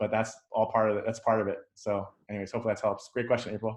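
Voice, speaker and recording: A man with an American accent, medium pitch, and a very fast pace. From New York City. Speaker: fighter pilot veteran. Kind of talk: Q&A talk. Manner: animated.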